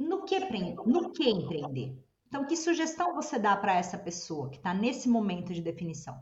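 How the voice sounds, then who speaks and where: Over audible room echo, a woman speaks at a moderate pace with very wide pitch swings. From Brazil. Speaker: podcast co-host. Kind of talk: podcast interview.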